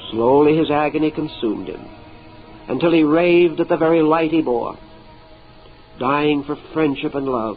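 Over music in the background, a man with a fairly high voice speaks at a moderate pace with fairly even intonation and long, frequent pauses. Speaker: lecturer. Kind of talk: mystical story reading.

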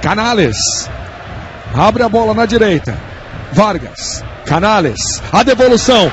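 Noticeable background noise under a high male voice. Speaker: play-by-play football commentator. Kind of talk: live football commentary. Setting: TV broadcast commentary.

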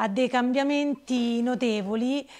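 Fairly slow pace and fairly even intonation against a quiet background. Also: woman. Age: 50s. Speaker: interviewee sharing her story; interviewee. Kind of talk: personal testimony. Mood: earnest, slightly emotional. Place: home room. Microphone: lapel.

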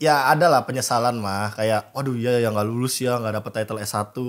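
It's a plain, everyday voice: a man at a medium pitch, moderate pace, with a quiet background. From Indonesia. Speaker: esports analyst and caster; podcast guest. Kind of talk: casual chat. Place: studio. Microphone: studio mic.

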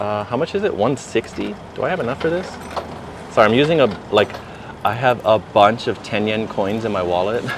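Lively intonation marks this man's speech over noticeable background noise. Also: medium pitch for a man, moderate pace. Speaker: travel live streamer. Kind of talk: live stream chat while walking. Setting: outdoors. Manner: casual, filler-heavy. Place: street. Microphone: phone near.

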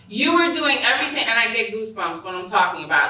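A woman's voice comes with audible room echo. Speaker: presenter. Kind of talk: lecture. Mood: earnest, emotional. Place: hall.

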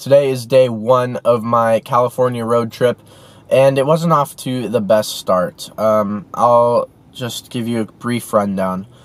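Here a man talks at a fairly slow pace with fairly even intonation. The sound is dry with no echo. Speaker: vlogger. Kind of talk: casual vlog chat. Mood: mildly frustrated, wry. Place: car. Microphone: phone near.

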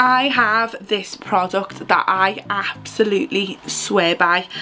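A woman speaks with ordinary pitch variation while faint music plays in the background. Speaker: beauty vlogger. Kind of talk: casual makeup tutorial chat. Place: home room. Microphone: phone near.

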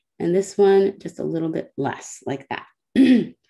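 Against a quiet background, a woman with a dark, mellow tone and medium pitch speaks at a fairly slow pace, her pitch swinging very widely. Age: 30s. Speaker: illustrator and workshop instructor; doodling workshop host. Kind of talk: tutorial. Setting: video call. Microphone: video call.

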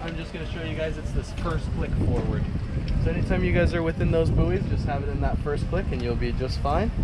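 The talking goes at a very fast pace. Loud background noise is present. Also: man. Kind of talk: safety briefing. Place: boat. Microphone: phone near.

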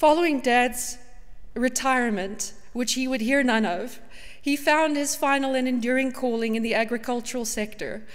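Fairly quick, high-pitched speech from a woman, with fairly even intonation against a quiet background. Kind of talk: eulogy reading. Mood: tender, with light laughter. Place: church.

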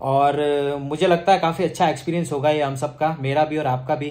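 A man's fairly high, somewhat breathy voice at a moderate pace, with fairly even intonation. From Rajasthan, India. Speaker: vlogger. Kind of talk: casual vlog narration. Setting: at home. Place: home room. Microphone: phone near.

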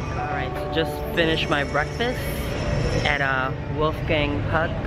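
A man talks rather slowly as music plays behind him. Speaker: travel vlogger. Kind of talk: casual vlog chat. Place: station. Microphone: phone near.

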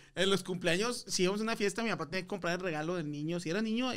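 A man at a very fast pace, animated in tone, with lively intonation over a quiet background. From Monterrey, northern Mexico; Mexico. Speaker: comedian. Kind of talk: casual chat. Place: studio. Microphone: studio mic.

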